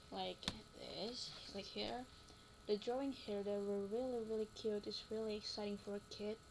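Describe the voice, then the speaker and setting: Noticeable background noise sits behind a woman's medium-pitched voice. Her intonation is monotone and flat. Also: moderate pace. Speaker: university student. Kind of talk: class presentation. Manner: casual, hesitant.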